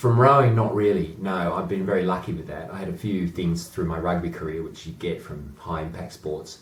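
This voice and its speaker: Speaking at a fairly quick pace with hardly any pauses, a man with an Australian accent has a very deep, low pitch and ordinary pitch variation. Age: 40s. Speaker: amateur rower and boat club chairman. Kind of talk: interview.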